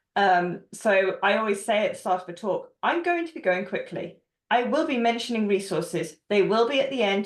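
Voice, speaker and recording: A woman's ordinary speaking voice, medium in pitch, with lively intonation and a fairly quick pace. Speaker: developer advocate. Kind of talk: panel Q&A answer.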